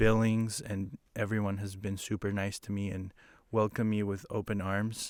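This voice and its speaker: With a Spanish accent, a man speaks at a moderate pace in a fairly low pitch with monotone, flat intonation on a very clean recording with a silent background. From Ecuador, Quito. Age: young. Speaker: photographer and business owner. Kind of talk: casual chat. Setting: studio.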